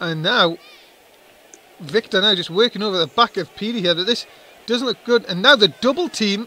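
Amid noticeable background noise, a man with a high pitch projects a raised voice at a moderate pace, his tone animated and intonation lively, with long, frequent pauses. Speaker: wrestling commentator. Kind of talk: live wrestling commentary. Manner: animated, play-by-play, excitable.

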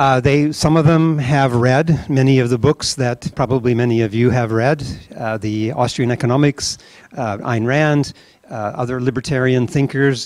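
A man at a moderate pace with fairly even intonation, dry with no echo, over a quiet background. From US Midwest. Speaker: nonprofit founder and event organizer. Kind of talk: welcome speech. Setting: event venue with audience. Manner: halting, many fillers. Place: hall. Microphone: handheld.

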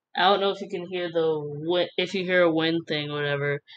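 Here is a woman with an unremarkable speaking voice, fairly low in pitch, at a moderate pace with fairly even intonation. Light background noise can be heard. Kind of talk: casual voice-over commentary.

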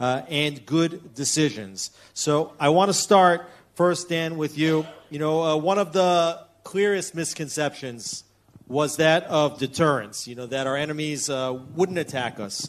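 With an unremarkable speaking voice, a man talks fairly slowly at a fairly high pitch with ordinary pitch variation. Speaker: panel moderator. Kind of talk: panel discussion. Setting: stage with audience. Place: hall.

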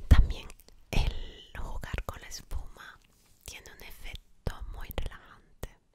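A woman is whispering. She speaks at a very slow pace. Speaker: ASMR creator. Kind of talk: soft-spoken ASMR chat. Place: home room. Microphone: studio mic.

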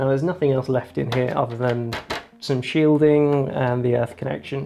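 A man talks at a fairly quick pace with fairly even intonation. Faint music sits in the background. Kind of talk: tutorial commentary. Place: workshop. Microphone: lapel.

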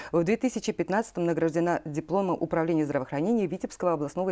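A woman in a normal speaking voice, fairly low in pitch and at a fairly quick pace, over a quiet background. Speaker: TV host. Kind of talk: TV interview host reading introduction. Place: studio. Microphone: lapel.

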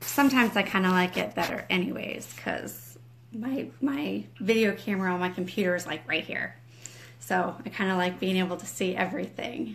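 This woman's medium-pitched voice has vocal fry and swings very widely in pitch. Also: moderate pace. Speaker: ministry leader and home school mom. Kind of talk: livestream devotional chat. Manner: quiet, trying not to wake husband.

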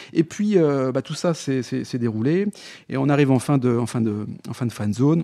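A man speaks at a medium pitch with a dark, mellow tone. He leaves long, frequent pauses against a quiet background. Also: lively intonation, moderate pace. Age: 40s. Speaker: podcaster and entrepreneur. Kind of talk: interview conversation. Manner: halting, many fillers and repetitions.

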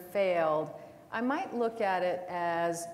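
A woman with an ordinary speaking voice, fairly low in pitch, with ordinary pitch variation and light background noise. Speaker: panelist. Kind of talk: panel discussion answer. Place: stage.

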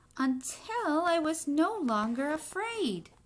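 At a slow pace, a woman speaks in a high pitch with big pitch swings and audible room echo.

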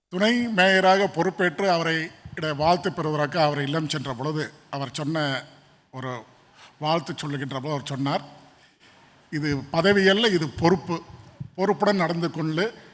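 A man speaks in a normal speaking voice. His pitch is fairly high, with ordinary pitch variation. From Chennai, Saidapet. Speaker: deputy mayor, politician. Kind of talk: conference interview on stage.

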